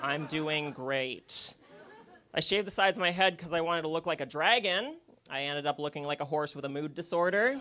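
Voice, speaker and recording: A man at a fairly high pitch, fairly quick in pace, with ordinary pitch variation. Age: 20s. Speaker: stand-up comedian. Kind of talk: stand-up. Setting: stage with audience. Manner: animated.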